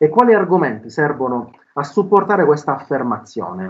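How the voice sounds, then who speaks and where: A man's fairly high voice, fairly quick in pace and lively in intonation. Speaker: philosophy professor. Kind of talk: lecture. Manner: halting.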